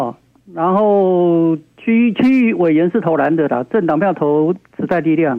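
Speaking at a fairly slow pace, a man holds a very even loudness. His pitch is high, with ordinary variation. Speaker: radio call-in listener. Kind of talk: casual chat. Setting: phone call. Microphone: echo from own radio on the line.

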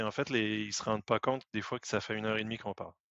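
Flat and monotone, a man's fairly low voice carries on without much rise or fall. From Quebec. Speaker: IT professional. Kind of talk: casual chat.

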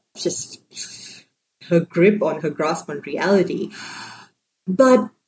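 At a very slow pace, a woman talks in a fairly low pitch, somewhat breathy, with a dark, mellow tone. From Sri Lanka. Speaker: novelist. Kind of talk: interview.

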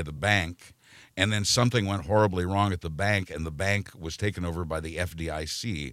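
A man with an American accent, very deep and low in pitch, at a fairly quick pace with ordinary pitch variation, on a very clean recording with a silent background. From Kansas, Wichita. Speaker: retired radio news journalist. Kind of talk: casual interview. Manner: halting.

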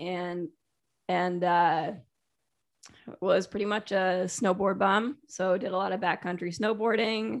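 A woman with a plain, everyday voice and an American accent, medium pitch, fairly even intonation, fairly slow pace. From Connecticut. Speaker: dog and horse trainer. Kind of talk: casual chat.

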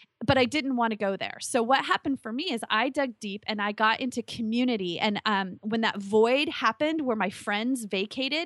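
A woman with a fairly high pitch speaks in an animated tone at a moderate pace. Her pitch varies in an ordinary way, and the sound is dry and close with no echo. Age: 40s. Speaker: life coach. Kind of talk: interview.

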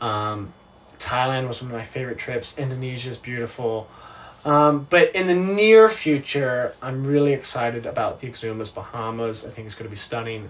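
A somewhat breathy man talks at a moderate pace, his loudness swinging widely. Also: medium pitch for a man, ordinary pitch variation. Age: 20s. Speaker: yacht deckhand, reality TV cast member. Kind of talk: casual interview. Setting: on a sailboat.

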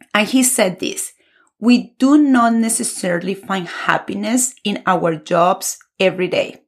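Speaking fairly slowly in a Colombian accent, a woman sounds somewhat breathy, with a warm, enthusiastic tone, a fairly high pitch and lively intonation. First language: Spanish. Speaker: Spanish teacher and podcast host. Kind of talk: podcast monologue, scripted intro and informal talk. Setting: recording alone for podcast.

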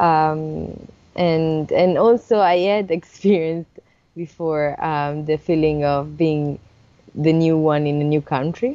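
Using fairly even intonation, a woman speaks at a very slow pace with a very deep, low pitch. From Italy, Sardinia. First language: Italian. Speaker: illustrator and picture book author. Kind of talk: interview.

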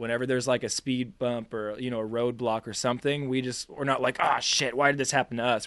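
A man with a normal speaking voice talks at a medium pitch. His intonation stays fairly even. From US Northeast, Boston. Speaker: musician. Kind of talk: casual interview.

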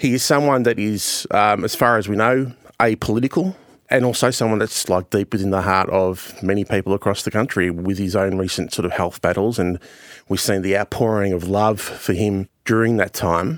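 A man's fairly low voice comes across with a dry, close sound and no echo. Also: ordinary pitch variation, moderate pace, very clean recording, silent background. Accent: Australian. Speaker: journalist and commentator. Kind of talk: news podcast interview.

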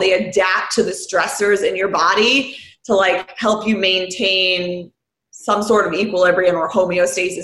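A woman with an American accent at a moderate pace, audible room echo around her. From New York City, Queens. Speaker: beverage company founder. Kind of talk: casual chat.

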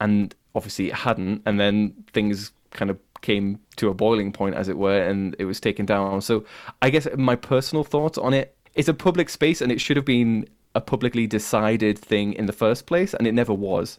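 A man speaks with a strong northern English accent at a moderate pace, his pitch fairly low and ordinary in its variation. The recording is very clean, with a silent background. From Cumbria, northern England. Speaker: YouTube music podcaster. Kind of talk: casual interview.

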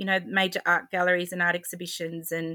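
A woman with an Australian accent, fairly low in pitch, bright and sharp in tone, at a moderate pace. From regional New South Wales, Albury. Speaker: handmade crafts maker, former interior designer. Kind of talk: interview conversation.

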